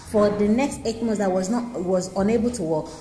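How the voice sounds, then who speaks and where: Over music in the background and with audible room echo, a woman talks at a moderate pace in a medium pitch, with ordinary pitch variation. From Nigeria. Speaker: insurance adviser. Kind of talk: informational talk to camera. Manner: halting, with fillers and repetitions.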